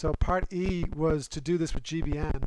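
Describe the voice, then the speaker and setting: A man speaks at a fairly high pitch with ordinary pitch variation. Noticeable background noise sits behind him. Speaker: university lecturer. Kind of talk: lecture. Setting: live stream. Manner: fast.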